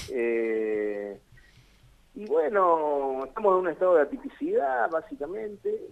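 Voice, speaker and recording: Through noticeable background noise, a man speaks with lively intonation. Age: 50s. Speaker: cannabis activist. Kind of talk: radio interview.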